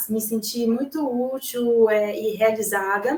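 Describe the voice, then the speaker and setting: Her voice is an unremarkable speaking voice, with a woman's fairly high pitch and ordinary pitch variation. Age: 30s. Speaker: journalist. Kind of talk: live consultation chat.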